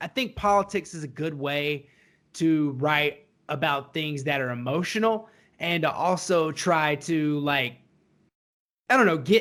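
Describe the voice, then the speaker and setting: A man talks fairly slowly in a Southern US accent. His intonation is lively, and the recording is very clean with a silent background. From US South. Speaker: podcast co-host. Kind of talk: casual chat.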